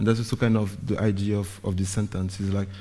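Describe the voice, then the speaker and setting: Somewhat breathy and dark, mellow in tone, a man talks at a fairly quick pace in a flat monotone. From Guadeloupe, later Paris. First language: Guadeloupean Creole / French. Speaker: visual artist. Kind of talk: artist talk presentation.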